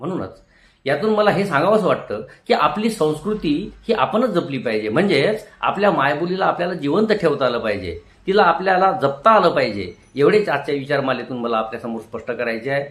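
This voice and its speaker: His fairly high voice swings very widely in pitch. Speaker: retired teacher. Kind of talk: motivational talk. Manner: formal.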